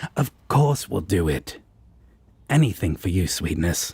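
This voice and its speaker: A man's put-on character voice, very deep and low in pitch, at a fairly slow pace. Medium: audio drama. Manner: teasing, casual.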